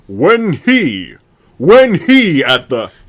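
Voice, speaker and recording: A put-on character voice from a man, pitched high. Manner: grand, lordly.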